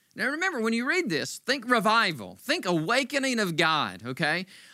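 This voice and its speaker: On a very clean recording with a silent background, a raised, projected voice moves through very wide pitch swings. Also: man. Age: 50s. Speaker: pastor. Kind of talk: sermon. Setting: church livestream. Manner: animated.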